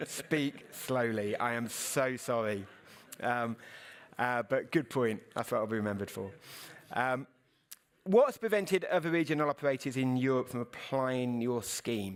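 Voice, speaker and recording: Captured on a very clean recording with a silent background, the speaker has a British accent and ordinary pitch variation. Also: man, medium pitch for a man. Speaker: news editor and journalist. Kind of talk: conference Q&A. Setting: stage with audience. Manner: fast; halting, many fillers.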